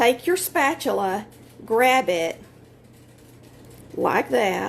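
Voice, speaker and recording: A woman with a Southern US accent speaks at a very slow pace, her fairly high voice showing vocal fry and very wide pitch swings. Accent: US South. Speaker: home baker. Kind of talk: tutorial. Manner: loud; casual.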